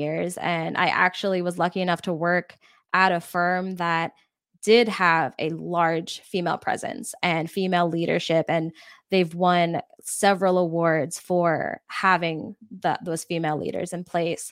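Recorded very cleanly against a silent background, a woman with an unremarkable speaking voice talks at a fairly slow pace, her fairly low pitch carried by fairly even intonation. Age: 20s. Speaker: podcast producer and marketing agency founder. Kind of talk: casual interview.

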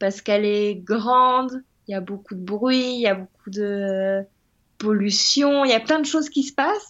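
A woman's voice with ordinary pitch variation. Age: 30s. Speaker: web designer. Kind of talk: interview.

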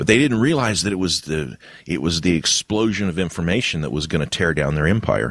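Very deep and low, a man's voice runs at a fairly quick pace with vocal fry and lively intonation. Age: 50s. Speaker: podcast host. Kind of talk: casual chat. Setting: online voice call.

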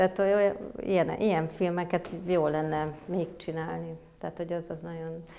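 A woman's fairly low pitch holds a monotone, flat intonation as she talks at a moderate pace. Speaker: film producer. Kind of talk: interview. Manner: hesitant, many fillers.

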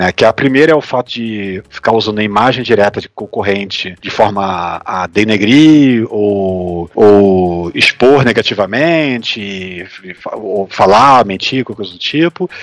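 A man at a fairly low pitch with ordinary pitch variation, big swings in loudness and hardly any pauses, in a dry, close sound with no echo and noticeable background noise. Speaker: political podcast co-host. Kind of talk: casual political chat. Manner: halting, with many repeated words and fillers.

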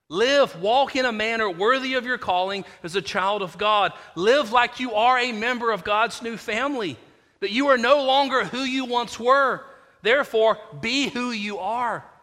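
Using a raised, projected voice with a bright, sharp tone, a man speaks at an extremely high pitch with ordinary pitch variation. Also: moderate pace. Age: 40s. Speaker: pastor. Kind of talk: sermon. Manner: repetitive false starts.

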